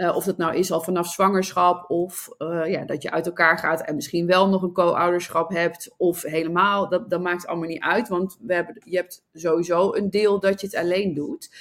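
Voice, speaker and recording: A woman's fairly low, monotone voice with flat intonation and hardly any pauses. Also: moderate pace. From Netherlands, Nijmegen. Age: 40s. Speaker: entrepreneur and love coach. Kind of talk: interview. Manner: halting.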